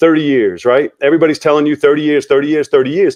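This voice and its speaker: Speaking very fast with lively intonation, a man with an American accent comes through in a dry, close sound with no echo. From Long Island, New York. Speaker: real estate investor. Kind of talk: podcast interview.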